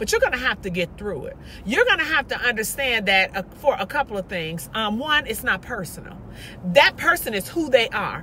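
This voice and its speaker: Noticeable background noise surrounds a woman speaking in an animated tone at a fairly quick pace. Her pitch swings very widely and her loudness rises and falls sharply. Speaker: motivational vlogger. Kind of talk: motivational monologue. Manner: loud, animated.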